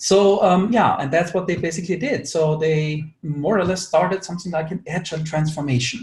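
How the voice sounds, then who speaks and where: A man with an Austrian accent talks at a fairly quick pace in a high pitch, with ordinary pitch variation and hardly any pauses. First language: German. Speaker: agile consultant, webinar speaker. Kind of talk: webinar presentation. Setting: online webinar with screen share. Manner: many filler words.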